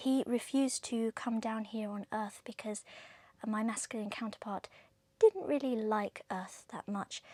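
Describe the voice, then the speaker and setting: In a southern English accent, a woman speaks at a fairly slow pace with a dark, mellow tone, fairly even intonation and a somewhat breathy quality, the sound dry and close with no echo. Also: fairly high pitch for a woman. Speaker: tarot reader. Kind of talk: tarot reading monologue. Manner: occasional stutter; casual, chatty.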